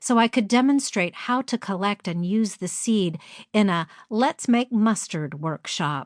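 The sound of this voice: Unforced voice, reading aloud.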